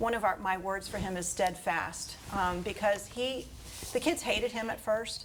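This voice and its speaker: A woman's ordinary speaking voice at medium pitch, with an American accent and a moderate pace. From Florida, Fort Pierce. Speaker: school principal. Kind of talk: interview.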